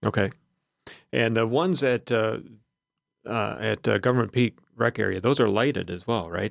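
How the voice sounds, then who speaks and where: A man's medium-pitched voice with vocal fry and ordinary pitch variation, at a moderate pace with long, frequent pauses, in a dry, close sound with no echo and a very clean recording with a silent background. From southern Wisconsin. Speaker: radio host. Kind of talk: radio interview; radio show intro. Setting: studio.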